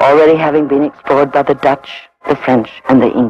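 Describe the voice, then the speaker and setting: A man speaks over faint background music, and the sound is dry with no echo. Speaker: documentary narrator. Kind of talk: documentary narration. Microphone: old recording.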